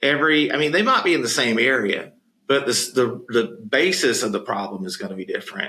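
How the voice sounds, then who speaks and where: With a Southern US accent, a man speaks in a bright, sharp tone with lively intonation. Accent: noticeable Southern. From US South, Florida Panhandle. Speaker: podcast co-host, home care business advisor. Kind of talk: casual chat. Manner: conversational with frequent fillers.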